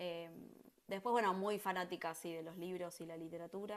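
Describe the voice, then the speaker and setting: A woman talks at a moderate speed with a medium pitch. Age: 40s. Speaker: teacher and book lover. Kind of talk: interview. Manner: hesitant, many fillers.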